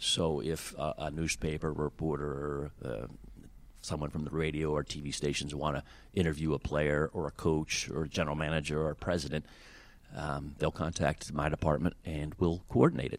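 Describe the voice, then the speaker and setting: Monotone, flat intonation with vocal fry and an American accent, at a moderate pace. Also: man, very deep, low pitch for a man. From Wheeling, West Virginia (Ohio Valley). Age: 50s. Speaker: sports team communications director. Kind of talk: interview. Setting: team facility press conference room.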